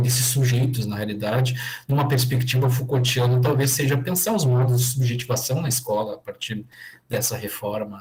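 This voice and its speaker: Somewhat breathy, a man with a Rio Grande do Sul accent talks at a moderate pace and a medium pitch. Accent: gaúcho (Rio Grande do Sul). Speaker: education professor. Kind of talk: online lecture Q&A. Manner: hesitant, many fillers.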